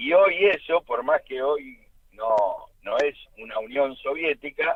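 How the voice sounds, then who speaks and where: A man with an Argentine accent talks at a very slow pace. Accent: Argentine Spanish (Rioplatense). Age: 70s. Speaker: political activist. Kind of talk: radio interview. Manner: halting.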